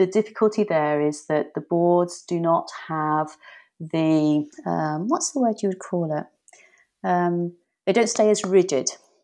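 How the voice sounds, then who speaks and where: With an English accent, a woman speaks at a fairly slow pace in a dark, mellow tone. Her pitch is fairly low with ordinary variation, over a quiet background. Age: 50s. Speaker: whitewater paddleboard coach. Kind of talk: interview.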